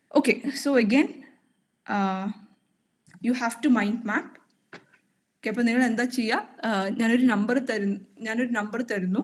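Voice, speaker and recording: Hers is a normal speaking voice, a woman's, fairly high in pitch with ordinary pitch variation. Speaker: programming instructor. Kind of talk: online coding tutorial. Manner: code-switching Malayalam and English.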